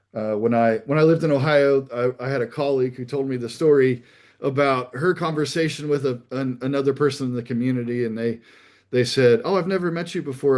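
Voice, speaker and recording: Over a quiet background, a man speaks at a medium pitch. He keeps a fairly quick pace and fairly even intonation. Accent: American. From US Midwest. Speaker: pastor. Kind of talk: talk on ministry. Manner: halting, many fillers.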